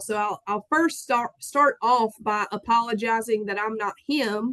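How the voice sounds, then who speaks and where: A woman with a strong Southern US accent at a fairly high pitch, fairly slow pace and fairly even intonation, in a dry, close recording with no echo. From US South, south Georgia. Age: 30s. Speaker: farmer. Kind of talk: conference talk.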